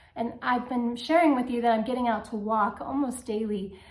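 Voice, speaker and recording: Fairly high in pitch, a woman talks at a moderate pace with fairly even intonation. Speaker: vlogger sharing cancer journey. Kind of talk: personal video diary.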